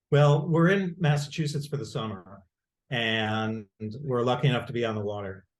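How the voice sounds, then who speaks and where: A man's voice sounds somewhat breathy. He talks at a moderate pace, with lively intonation. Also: medium pitch for a man. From Rochester, New York. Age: 60s. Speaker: lawyer. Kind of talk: casual chat. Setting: video call. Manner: halting.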